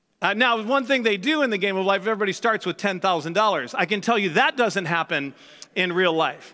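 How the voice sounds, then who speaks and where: A man's raised, projected voice, high-pitched with a bright, sharp tone, lively intonation and very even loudness, on a very clean recording with a silent background. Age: 50s. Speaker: pastor. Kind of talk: sermon. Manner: halting.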